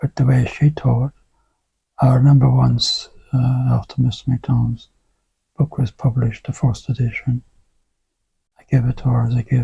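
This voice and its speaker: A man with an Irish accent talks at a moderate pace with long, frequent pauses, in a dry, close sound with no echo. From rural Ireland. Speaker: Alexander Technique teacher. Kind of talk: interview conversation.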